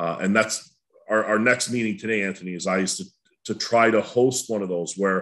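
An unremarkable speaking voice from a man, fairly low in pitch with lively intonation, at a moderate pace over a quiet background. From Welland, Ontario, Canada; Ontario. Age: 50s. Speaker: school board educator. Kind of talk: panel discussion. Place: home room. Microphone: webcam.

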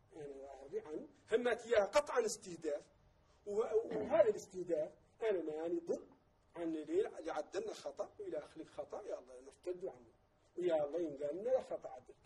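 A man at a moderate pace, with big swings in loudness. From Mauritania. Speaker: vice president of an activist movement; guest. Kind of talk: TV interview. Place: studio. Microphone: lapel.

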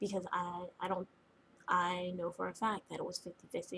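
A somewhat breathy woman speaks with fairly even intonation over light background noise. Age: 20s. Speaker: vlogger. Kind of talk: personal video diary. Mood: upset, venting about relationship. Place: home room. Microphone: webcam.

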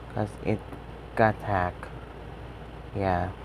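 A man talks in this clip. Noticeable background noise is present. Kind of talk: casual talk to camera. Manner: hesitant.

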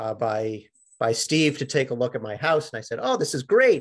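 A man talks at a moderate pace while the background stays quiet. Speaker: sheet metal worker; presenter. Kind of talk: webinar presentation. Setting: video call. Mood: proud, friendly. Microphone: webcam.

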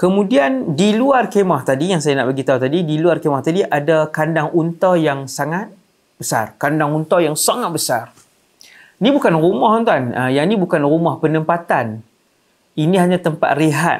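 A fairly high-pitched man talks at a moderate pace with ordinary pitch variation. His loudness stays very even against a quiet background. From Malaysia. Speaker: Islamic preacher. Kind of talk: religious lecture. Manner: animated storytelling. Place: studio. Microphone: lapel.

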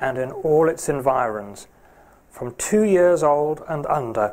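Speaking very slowly, a man lets his pitch vary in an ordinary way. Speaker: preacher. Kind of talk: scripture reading in a sermon. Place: church.

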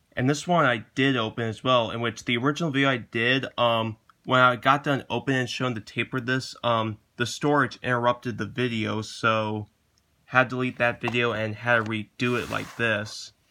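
Against a quiet background, a man speaks with a bright, sharp tone and fairly even intonation. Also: moderate pace. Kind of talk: casual vlog chat. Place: home room. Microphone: phone near.

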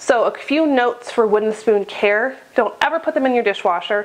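A woman is speaking. She talks at a moderate pace. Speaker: homestead cooking vlogger. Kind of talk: casual vlog chat. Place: kitchen. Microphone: lapel.

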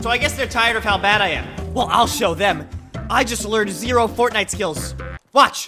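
With music in the background, a man speaks in an energetic, playful tone. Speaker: gaming video creator. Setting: in-game voice chat. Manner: energetic, playful self-deprecating commentary.

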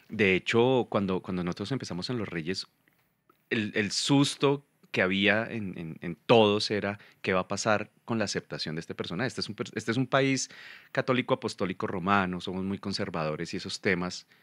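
Against a quiet background, the speech moves at a moderate pace with ordinary pitch variation and a dry sound with no echo. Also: man, fairly low pitch for a man. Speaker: guest actor. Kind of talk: interview answer. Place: studio. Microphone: studio mic.

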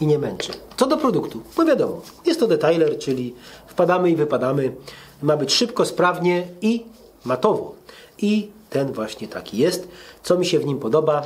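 This man has a high-pitched voice with very wide pitch swings. He keeps a moderate pace but makes long, frequent pauses. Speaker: car detailing reviewer. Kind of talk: casual product review. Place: garage.

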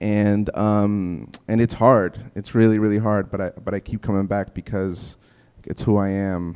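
A man with an American accent, fairly low in pitch, in a flat monotone at a fairly slow pace against a quiet background. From New York City (Bushwick, Brooklyn); New York. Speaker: housing activist; panelist. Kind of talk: panel discussion. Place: hall. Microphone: handheld.

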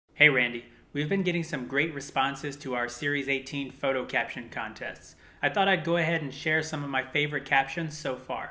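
An ordinary speaking voice with an American accent moves at a fairly quick pace. The intonation stays fairly even. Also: man, fairly high pitch for a man. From New York City. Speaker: YouTube channel host. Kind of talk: scripted update video. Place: home room.

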